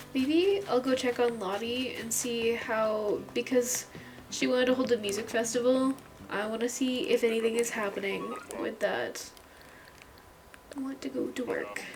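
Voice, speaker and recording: A woman speaks softly at a fairly high pitch, with long, frequent pauses. Noticeable background noise runs under her voice. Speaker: gaming video creator. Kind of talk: casual gameplay chat. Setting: home recording alone in room. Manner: quiet, soft-spoken.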